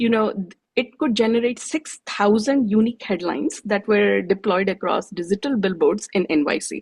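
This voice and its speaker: Speaking in an Odisha accent, a woman with a medium pitch sounds somewhat breathy and barely pauses. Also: ordinary pitch variation, moderate pace. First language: Odia. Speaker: tech presenter. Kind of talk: presentation.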